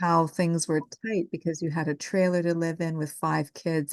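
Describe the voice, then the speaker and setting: Against a quiet background, a woman with a Canadian accent uses a normal speaking voice at a fairly low pitch and moderate pace, the sound dry and close with no echo. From Gatineau, Quebec, Canada. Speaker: social work student podcast host. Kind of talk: casual interview with family member.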